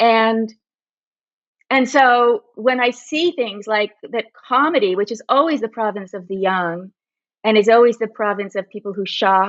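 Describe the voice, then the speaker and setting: With a General American accent, a woman speaks at a fairly slow pace in a fairly high voice with ordinary pitch variation, a plain, everyday voice. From California, Berkeley. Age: 60s. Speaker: magazine writer. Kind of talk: casual chat. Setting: podcast.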